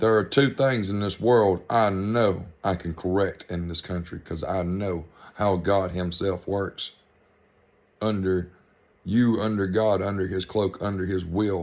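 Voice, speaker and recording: Speaking with a Georgia accent, a man uses a fairly low pitch at a fairly slow pace. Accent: Southern US (Georgia). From US South, middle western Georgia. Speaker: vlogger. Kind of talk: political rant to camera. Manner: animated.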